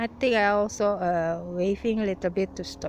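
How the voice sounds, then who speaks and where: A woman at a medium pitch against noticeable background noise. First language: not English. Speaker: religious minority testimony giver. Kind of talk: personal testimony.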